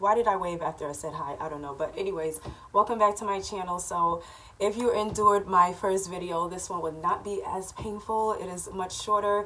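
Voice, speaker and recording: Over noticeable background noise, a woman at medium pitch talks at a fairly quick pace with fairly even intonation and big swings in loudness. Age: 30s. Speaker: vlogger. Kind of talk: casual chat. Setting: at home. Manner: casual, with fillers.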